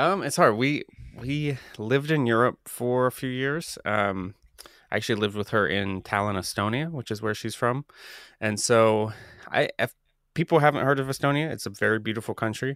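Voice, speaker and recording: The speaker has an American accent and talks at a moderate pace. Their pitch varies in an ordinary way. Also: man, medium pitch for a man. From US Midwest (Columbus, Ohio). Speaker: theologian and author. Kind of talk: casual interview chat.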